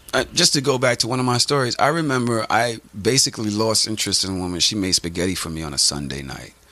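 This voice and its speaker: Very wide pitch swings mark this man's American accent. He talks at a very fast pace over noticeable background noise. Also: medium pitch for a man. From Brooklyn, New York. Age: 40s. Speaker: podcaster. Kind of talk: casual chat.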